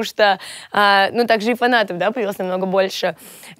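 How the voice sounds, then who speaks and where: The voice shows ordinary pitch variation. The background is quiet and the sound is dry with no echo. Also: woman. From Russia, Volgograd; Russia. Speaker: blogger and singer; blogger. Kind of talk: interview monologue. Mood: relaxed, cheerful. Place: studio. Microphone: lapel.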